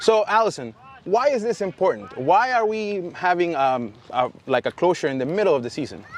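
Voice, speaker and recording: Amid noticeable background noise, a man with a high pitch speaks at a moderate pace, his pitch swinging very widely. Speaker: fishing channel host. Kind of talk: casual video blog; spanish translation for viewers. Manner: stutter.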